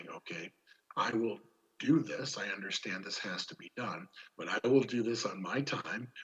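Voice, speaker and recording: Using a put-on character voice, a man sounds raspy at a medium pitch, with lively intonation and a moderate pace. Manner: very polite but firm.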